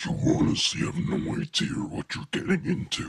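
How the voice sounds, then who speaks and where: A man puts on a raspy character voice and talks at a moderate pace. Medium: audio drama. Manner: menacing, threatening.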